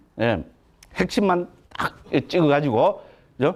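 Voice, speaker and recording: With lively intonation and an animated tone, a man speaks at a fairly high pitch. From Gyeongsang province, Korea. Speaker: Buddhist monk lecturer. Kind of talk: lecture. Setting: lecture hall with audience. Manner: animated, conversational.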